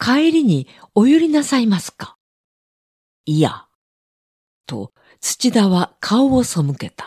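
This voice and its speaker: A woman speaks at a very slow pace with a high pitch and a dark, mellow tone, leaving long, frequent pauses. Her voice has very wide pitch swings and big swings in loudness, and the sound is dry and close with no echo. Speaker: audiobook narrator. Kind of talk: reading aloud.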